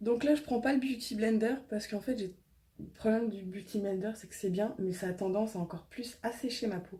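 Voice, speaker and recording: A woman speaks at a fairly quick pace in a fairly high, somewhat breathy voice with a dark, mellow tone, ordinary pitch variation and big swings in loudness. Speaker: beauty vlogger. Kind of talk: tutorial. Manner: casual, lots of hesitations.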